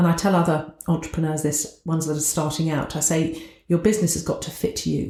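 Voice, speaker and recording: A woman with a Southern English accent, fairly low in pitch, at a fairly quick pace. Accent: southern English, sounds posh. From southern England. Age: 60s. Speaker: business owner, entrepreneur. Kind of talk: podcast interview.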